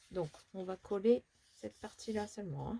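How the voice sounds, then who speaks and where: A woman's dark, mellow, somewhat breathy voice with lively intonation. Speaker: papercraft tutorial youtuber. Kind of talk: tutorial. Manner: soft-spoken; casual.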